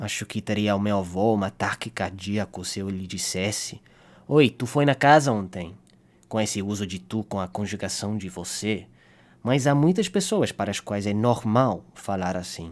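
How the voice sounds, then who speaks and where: The recording is very clean, with a silent background. A man talks at a fairly low pitch with ordinary pitch variation and a moderate pace. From Canada. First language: English (speaking Portuguese). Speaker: linguistics student. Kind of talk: scripted narration.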